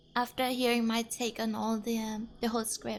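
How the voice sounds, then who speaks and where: A woman with a non-native accent speaks at a moderate pace and a high pitch. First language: not English. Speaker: vtuber streamer. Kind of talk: casual chat.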